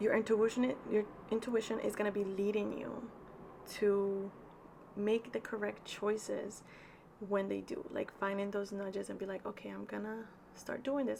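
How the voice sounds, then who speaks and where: A woman with a Spanish accent speaks at a medium pitch, leaving long, frequent pauses over noticeable background noise. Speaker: tarot reader. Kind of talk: tarot reading. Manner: casual, chatty with fillers.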